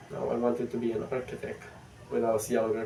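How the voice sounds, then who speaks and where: A man with a strong non-native accent speaks at a moderate pace. There is noticeable background noise. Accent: thick non-native. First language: not English. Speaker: vlogger. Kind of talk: casual vlog monologue. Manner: halting.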